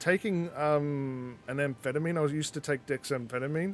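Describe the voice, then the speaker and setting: Music is heard in the background. The speech moves at a moderate pace with ordinary pitch variation. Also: man. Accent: Australian. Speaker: gaming streamer. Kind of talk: casual live-stream chat with gameplay commentary. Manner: mumbling at times.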